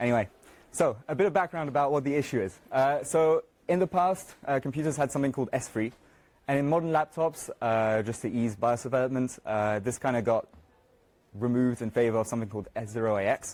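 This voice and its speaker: Over music in the background, a man talks at a very fast pace, his medium pitch showing ordinary variation. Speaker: software developer giving a conference talk. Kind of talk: conference talk. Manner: halting, many filler words.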